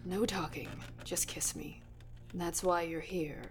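Loud background noise surrounds a woman doing a put-on character voice. She speaks at a fairly slow pace and a fairly low pitch. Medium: audio drama. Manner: imperious, cold.

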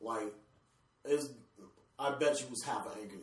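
The voice has ordinary pitch variation, and there is audible echo from the room. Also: man. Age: 20s. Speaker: podcast co-host and photographer. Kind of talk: casual chat.

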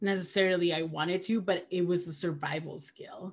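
A woman with a medium pitch. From Peru. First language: Spanish. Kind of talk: casual conversation.

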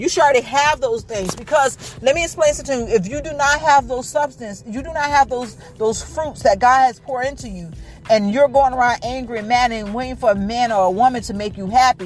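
Noticeable background noise sits under a woman speaking at a fairly quick pace. Her high pitch varies in an ordinary way, with big swings in loudness. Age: 20s. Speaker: podcast host. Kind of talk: casual monologue.

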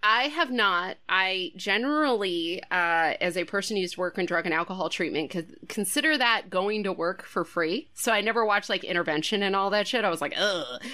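On a very clean recording with a silent background, a woman with an American accent speaks at medium pitch and a fairly quick pace, her bright, sharp tone animated, her intonation lively, her loudness very even and her speech with hardly any pauses. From California. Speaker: comedian and podcast host. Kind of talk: casual chat.

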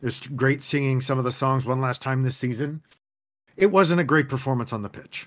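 Here is a man with a normal speaking voice at a medium pitch. He moves at a fairly quick pace with fairly even intonation. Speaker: co-host soccer analyst. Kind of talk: casual post-match discussion.

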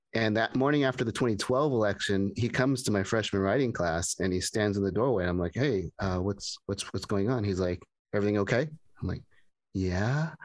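Over a quiet background, a man with an American accent speaks in a plain, everyday voice at a fairly low pitch. His pace is fairly quick, his loudness very even, and his pitch variation ordinary. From US West Coast, Pasadena. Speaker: former professor. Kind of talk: casual chat. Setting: video call.

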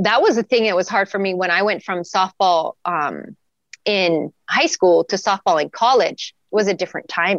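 Someone with an American accent talks at a moderate pace in a normal speaking voice, and the sound is dry and close with no echo. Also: woman. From Wyoming, US. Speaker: athletic trainer. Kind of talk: casual interview.

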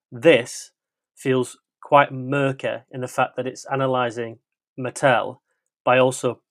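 A man's fairly slow speech with a dry, close sound and no echo. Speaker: film podcast guest. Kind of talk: casual chat.

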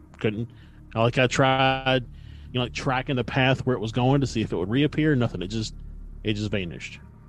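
In a normal speaking voice, a man moves along at a fairly quick pace. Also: medium pitch for a man, ordinary pitch variation. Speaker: podcast co-host. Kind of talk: casual chat.

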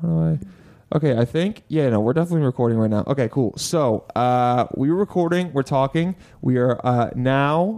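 A man at medium pitch, dark, mellow tone, ordinary pitch variation and moderate pace. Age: 20s. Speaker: stand-up comedian and podcast host. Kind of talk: casual chat. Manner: animated.

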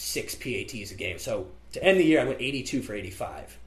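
With a Midwestern American accent, a man talks at a moderate pace in a room with audible echo. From US Midwest (central Illinois). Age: 20s. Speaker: college student. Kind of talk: casual chat.

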